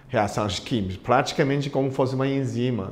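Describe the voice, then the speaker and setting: A man is speaking. Room echo can be heard. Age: 60s. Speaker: acupuncture and integrative medicine doctor. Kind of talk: interview. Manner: halting.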